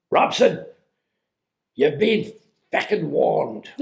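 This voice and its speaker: Using a put-on character voice with an Irish accent, a man speaks at a fairly slow pace. His voice is raspy. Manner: shouting, threatening.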